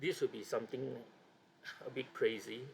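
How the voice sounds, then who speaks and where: The speaker is a man with a non-native accent. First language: not English. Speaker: board game hobbyist and video creator. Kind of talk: tutorial. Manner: halting.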